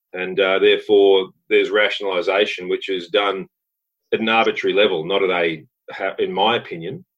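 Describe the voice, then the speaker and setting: Speech at a moderate pace with an Australian accent. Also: man. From Western Australia. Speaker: mining company director and geologist. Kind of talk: interview.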